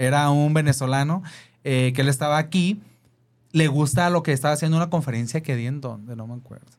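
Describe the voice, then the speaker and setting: A normal speaking voice with ordinary pitch variation comes through in a very clean recording with a silent background. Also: man. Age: 30s. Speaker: content creator and event host. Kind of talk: interview.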